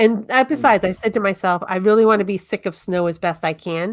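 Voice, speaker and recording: A woman speaks in a Massachusetts accent at a moderate pace. The recording is very clean, with a silent background. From Massachusetts, North Shore (Tewksbury area). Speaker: show guest. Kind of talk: casual chat.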